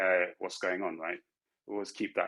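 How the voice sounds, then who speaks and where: A man with an English accent. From London, England. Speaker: tech executive. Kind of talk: panel talk giving career advice. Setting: virtual conference. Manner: halting, many fillers and restarts.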